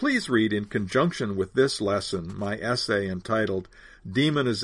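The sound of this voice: Reading in an unforced voice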